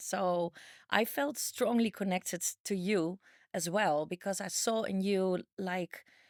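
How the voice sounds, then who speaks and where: In a Dutch accent, a woman speaks at a medium pitch and a fairly slow pace with fairly even intonation, the sound dry and close with no echo on a very clean recording with a silent background. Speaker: dating coach. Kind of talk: casual chat.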